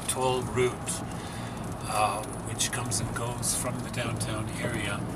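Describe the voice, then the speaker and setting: A man talks fairly slowly as music plays behind him. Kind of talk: casual travel vlog commentary. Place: car. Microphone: phone near.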